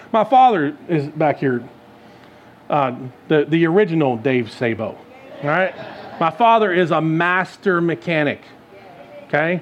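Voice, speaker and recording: Noticeable background noise sits behind a man with a fairly high pitch and lively intonation. He speaks at a fairly slow pace, leaving long, frequent pauses. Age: 40s. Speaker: guest preacher. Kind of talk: sermon. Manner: conversational.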